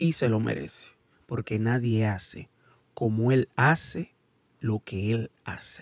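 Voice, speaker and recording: The man speaks at a very slow pace with ordinary pitch variation, in a dry sound with no echo and a quiet background. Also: medium pitch for a man. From United States, Dominican parents. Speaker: YouTube sports commentator. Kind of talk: casual video commentary. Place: studio. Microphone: studio mic.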